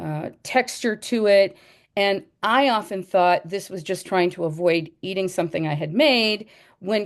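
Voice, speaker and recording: This woman has an ordinary speaking voice with ordinary pitch variation. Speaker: educator. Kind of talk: presentation.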